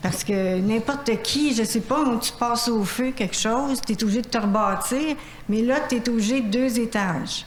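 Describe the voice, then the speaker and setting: A woman's fairly high voice at a moderate pace, with ordinary pitch variation and very even loudness, plus audible room echo and noticeable background noise. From Quebec, Saint-Philippe. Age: 60s. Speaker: citizen at public question period. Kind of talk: public question to council. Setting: city council meeting. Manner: hesitant, informal.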